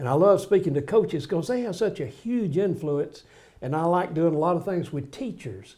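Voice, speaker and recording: With a Southern US accent, a man speaks in a fairly high pitch and a dark, mellow tone, his intonation lively. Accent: US South. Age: 80s+. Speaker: pastor and author. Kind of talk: casual interview.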